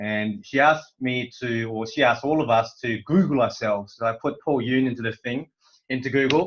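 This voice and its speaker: The pace of this man's speech is moderate. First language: Korean. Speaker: corporate presenter. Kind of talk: motivational talk on online call. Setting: online conference call. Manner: halting, many fillers.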